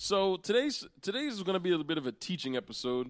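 Recorded very cleanly against a silent background, a man with an American accent speaks at a high pitch. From Central Pennsylvania. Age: 20s. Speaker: podcast host and teacher. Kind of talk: casual chat.

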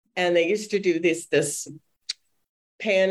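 A woman with an American accent has an ordinary speaking voice at a fairly low pitch. Her intonation is fairly even and her pace moderate. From suburban Boston. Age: 60s. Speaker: children's book editor. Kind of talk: interview.

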